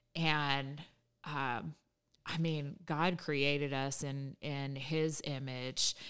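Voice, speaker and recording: A woman speaks very slowly at a very deep, low pitch. Her intonation is flat and monotone on a very clean recording with a silent background. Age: 40s. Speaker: former hairstylist sharing faith testimony. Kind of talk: testimony.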